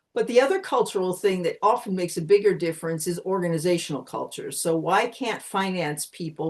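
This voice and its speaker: A woman with a Pennsylvania accent speaks at a fairly quick pace, her pitch varying in an ordinary way. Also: hardly any pauses. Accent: American (Pennsylvania). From Pennsylvania, US. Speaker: communication consultant. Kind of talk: interview.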